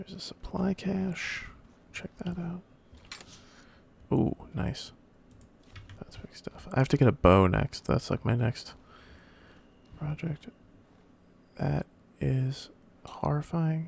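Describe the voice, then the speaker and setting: A soft-spoken man with a fairly high pitch talks at a very slow pace. His pitch swings very widely, broken by long, frequent pauses. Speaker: let's play gamer. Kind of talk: gameplay commentary. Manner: casual.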